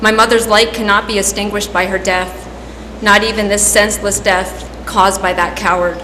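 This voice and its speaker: A woman at a medium pitch and moderate pace, monotone and flat, with noticeable background noise. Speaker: veterinarian. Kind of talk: victim impact statement.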